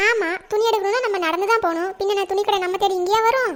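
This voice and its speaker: At a fairly quick pace, a woman uses a cartoonish character voice pitched extremely high. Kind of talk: village comedy cartoon. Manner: sharp, teasing.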